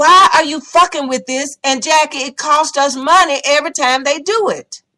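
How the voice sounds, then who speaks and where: Shouting in a raised, projected voice, the speaker has a bright, sharp tone and ordinary pitch variation. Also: woman, high pitch for a woman, moderate pace. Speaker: talk radio host. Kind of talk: political talk show chat. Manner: loud, yelling; animated.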